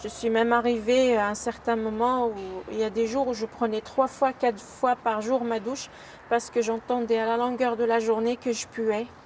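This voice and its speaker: Noticeable background noise sits behind a woman's fairly high voice. She speaks at a fairly slow pace in a flat monotone. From Algeria. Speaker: former elderly care worker. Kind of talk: personal testimony. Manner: halting, many hesitations.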